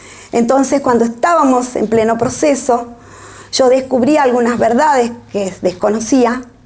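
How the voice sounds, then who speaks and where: Noticeable background noise sits behind a woman's fairly high voice. She talks at a fairly slow pace. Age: 60s. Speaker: author. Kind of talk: book presentation talk. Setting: public event with audience.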